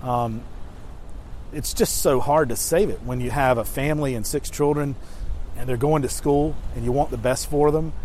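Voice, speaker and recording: A man at a moderate pace with long, frequent pauses and audible room echo. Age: 40s. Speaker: elder law attorney. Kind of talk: educational talk to camera. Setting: outdoors on the beach. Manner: animated.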